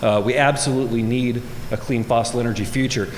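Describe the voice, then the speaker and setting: Very fast speech with an American accent, noticeable background noise and audible room echo. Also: man. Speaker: government energy official and scientist. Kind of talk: conference keynote speech. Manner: animated.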